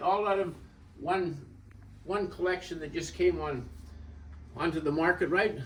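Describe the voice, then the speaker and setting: With audible room echo, a man speaks at a moderate pace in a high pitch with ordinary pitch variation. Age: 70s. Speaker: antique dealer. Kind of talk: walkthrough tour of auction items. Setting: in a store, filmed by an assistant. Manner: casual, conversational with fillers.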